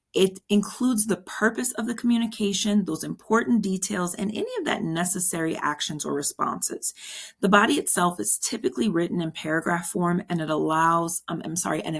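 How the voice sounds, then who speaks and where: A woman's medium-pitched voice with vocal fry, ordinary pitch variation and a fairly quick pace, on a very clean recording with a silent background. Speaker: exam prep instructor. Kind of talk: tutorial. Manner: casual, encouraging.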